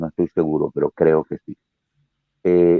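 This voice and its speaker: This man speaks with a very deep, low pitch. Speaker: actor, dramatist, radio guest. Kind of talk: interview answer.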